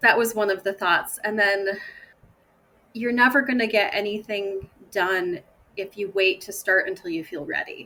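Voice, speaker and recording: With an American accent, this voice has a bright, sharp tone, a moderate pace and ordinary pitch variation. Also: woman. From Michigan, USA. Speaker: food tour company founder. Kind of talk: podcast interview answer.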